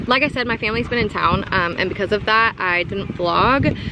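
A woman at a fairly quick pace with ordinary pitch variation, noticeable background noise and dry sound with no echo. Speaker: vlogger. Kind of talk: casual vlog chat. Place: waterside. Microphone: phone near.

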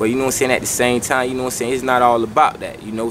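A man's voice with fairly even intonation over light background noise. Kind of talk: interview answer. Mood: serious, earnest. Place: garden.

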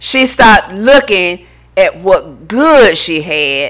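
Very slow pace against a quiet background. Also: woman. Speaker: preacher. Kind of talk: sermon. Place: church. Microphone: podium.

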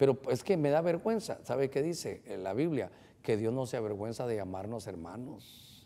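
A man talks at a medium pitch in a dark, mellow tone. His pace is moderate and his intonation lively. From Honduras. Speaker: pastor hosting a call-in Bible program; pastor hosting a TV program. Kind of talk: call-in religious advice show. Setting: studio. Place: studio.

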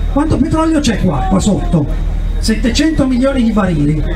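A man speaks with lively intonation. Noticeable background noise is present. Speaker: politician at a protest rally. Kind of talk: rally speech. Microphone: handheld.

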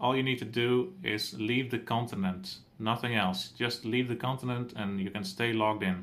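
A plain, everyday voice from a man, medium in pitch, with ordinary pitch variation, a moderate pace and hardly any pauses. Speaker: tournament admin. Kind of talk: formal announcement, countdown.

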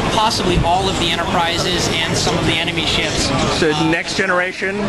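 A man at a moderate pace with crowd noise in the background. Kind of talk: interview answer. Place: hall. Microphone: phone near.

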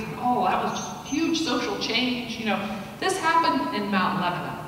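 A woman's voice in strong room echo, with light background noise. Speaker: guest lecturer. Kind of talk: lecture. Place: hall.

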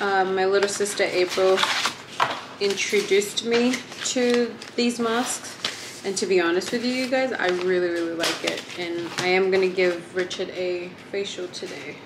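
Noticeable background noise sits behind a woman speaking at a moderate pace. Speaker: vlogger. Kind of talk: casual vlog chat. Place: home room. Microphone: phone near.

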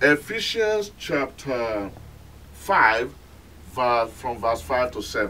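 Speaking at a very slow pace, a man leaves long, frequent pauses while his pitch swings very widely. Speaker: pastor. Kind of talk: sermon. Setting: telecast, recorded sermon for television audience. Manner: earnest, admonishing preacher's cadence, repeating 'My friend' to press the point. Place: church. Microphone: camera far.

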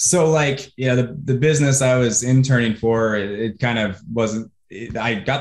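A man with an American accent talks with hardly any pauses. The background is quiet, but the room echo is audible. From US Pacific Northwest (Washington State). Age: 30s. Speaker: online marketer. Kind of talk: interview. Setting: video call. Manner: animated. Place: home room. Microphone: earbuds.

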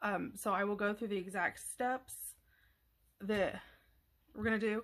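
A woman talks at a fairly quick pace. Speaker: craft video host. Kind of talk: tutorial.

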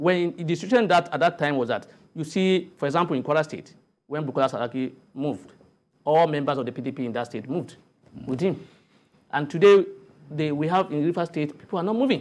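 A man speaks at a very fast pace in a fairly high pitch, with ordinary pitch variation and long, frequent pauses. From Nigeria. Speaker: politician and lawyer; politician, lawyer. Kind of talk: TV panel debate. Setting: TV studio. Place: studio. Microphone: lapel.

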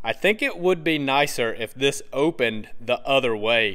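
A man talks at a moderate pace against a quiet background. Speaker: motorcycle reviewer. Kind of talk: product review walkaround. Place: shop. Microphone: phone near.

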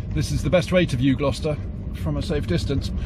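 Talking at a very fast pace, a man is heard over noticeable background noise. The sound is dry, with no echo. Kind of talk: casual vlog chat. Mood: cheerful, jokey. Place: car. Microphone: phone near.

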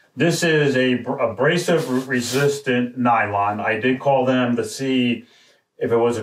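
In a quiet background with audible room echo, a man talks with fairly even intonation. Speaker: product reviewer. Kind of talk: product review talk. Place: studio.

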